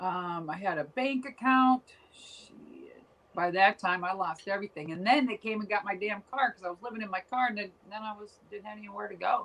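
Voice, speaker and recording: An American accent comes from a woman at a medium pitch, with ordinary pitch variation and big swings in loudness. She talks at a fairly quick pace over noticeable background noise. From Minnesota. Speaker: former professional wrestler. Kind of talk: interview.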